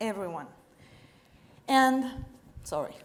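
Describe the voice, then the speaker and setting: There is audible room echo as a woman talks with a French accent. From France, French Alps. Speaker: chemist and startup co-founder. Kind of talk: pitch presentation. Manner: halting.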